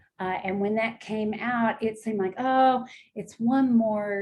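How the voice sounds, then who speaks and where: A woman speaks at a fairly slow pace, somewhat breathy. Her tone is dark and mellow, and her intonation fairly even. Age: 60s. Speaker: wellness product advocate. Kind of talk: casual chat about health products. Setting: live video stream.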